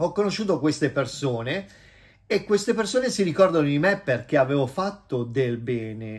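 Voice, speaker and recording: A somewhat breathy, fairly high man's voice at a moderate pace, with very wide pitch swings. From Italy. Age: 50s. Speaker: vlogger and businessman; vlogger. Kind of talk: casual vlog monologue. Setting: at home. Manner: animated. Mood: warm, self-assured. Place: home room. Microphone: phone near.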